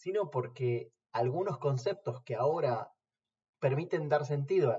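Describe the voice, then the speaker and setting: At a fairly slow pace, a somewhat breathy man speaks with a fairly high pitch and ordinary pitch variation. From Argentina, La Plata. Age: 40s. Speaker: philosophy lecturer. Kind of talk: interview testimony. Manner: formal.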